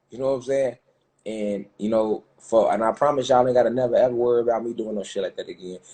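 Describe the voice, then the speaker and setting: A man's very fast speech at medium pitch, dark and mellow in tone. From Chicago, US Midwest. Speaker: conspiracy commentator. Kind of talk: livestream rant. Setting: live stream. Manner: animated.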